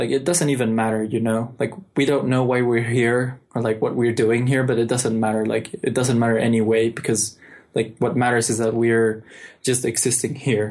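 A man speaks with a Mexican accent at a moderate pace, his pitch medium. His loudness stays very even, and his intonation is monotone and flat. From Mexico City. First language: Spanish. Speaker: software developer. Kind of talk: casual chat. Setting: remote call.

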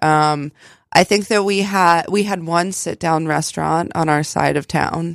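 A woman with an American accent has an unremarkable speaking voice, fairly low in pitch, with fairly even intonation at a fairly slow pace. The sound is dry and close with no echo, on a very clean recording with a silent background. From West Virginia, US (Fairmont). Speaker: artist and artist's model. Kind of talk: casual interview.

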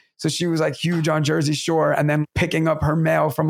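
A man talks at a very fast pace with a New York accent. His pitch sits fairly high. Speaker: teacher and podcast co-host. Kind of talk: casual chat. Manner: animated.

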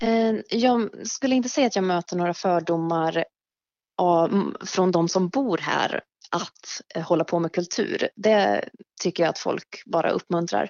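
A woman speaks in a normal speaking voice at medium pitch. Her pace is fairly slow, with ordinary pitch variation. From Mariestad, western Sweden. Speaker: writer and dancer. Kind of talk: casual interview. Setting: phone call.

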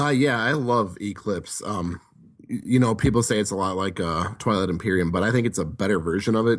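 A man talks at a fairly quick pace in a fairly low pitch. He has a normal speaking voice with ordinary pitch variation. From Wisconsin. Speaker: board game convention staffer. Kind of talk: casual chat.

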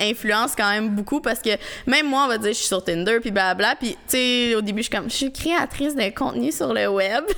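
At a fairly quick pace, a woman speaks in a normal speaking voice with a fairly high pitch and ordinary pitch variation. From Quebec. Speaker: YouTuber. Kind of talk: casual chat.

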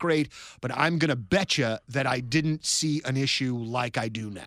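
In a plain, everyday voice, the speaker goes at a moderate pace with ordinary pitch variation and a dry, close sound with no echo. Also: man, very clean recording, silent background. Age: 40s. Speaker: sports radio podcast host. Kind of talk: casual chat.

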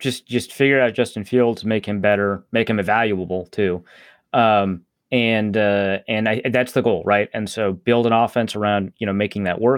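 In an American accent, a plain, everyday voice speaks at a moderate pace with fairly even intonation. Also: man, fairly low pitch for a man. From Upper Midwest US. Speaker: sports journalist. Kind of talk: casual chat.

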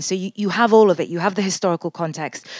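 In a dry, close sound with no echo, a woman with a normal speaking voice talks at a fairly low pitch with fairly even intonation. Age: 40s. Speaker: war correspondent. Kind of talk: interview. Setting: remote interview from a war zone.

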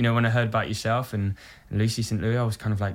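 British-accented male voice, pitched in the middle range. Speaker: musical theatre actor. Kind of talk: casual chat. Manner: halting.

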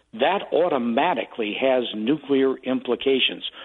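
A man speaks at a fairly slow pace with a medium pitch. He has an unremarkable speaking voice. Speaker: foreign policy analyst. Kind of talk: interview.

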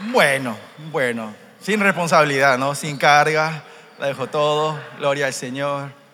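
Fairly high male voice with ordinary pitch variation and noticeable background noise. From Paraguay (Korean family). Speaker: church interpreter. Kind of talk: sermon interpretation and personal testimony. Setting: church youth conference with audience. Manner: animated.

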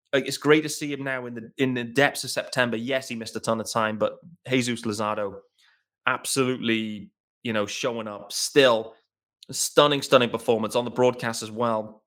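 In a very clean recording with a silent background, a man with an English accent talks fairly quickly at a medium pitch with fairly even intonation. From England. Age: 30s. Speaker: sports podcast host. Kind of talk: solo podcast commentary. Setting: home recording in living room.

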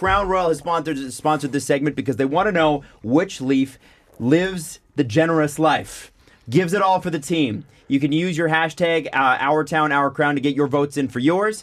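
A normal speaking voice from a man, fairly high-pitched, fairly quick, with ordinary pitch variation. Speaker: podcast host. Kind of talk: casual podcast discussion. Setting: studio.

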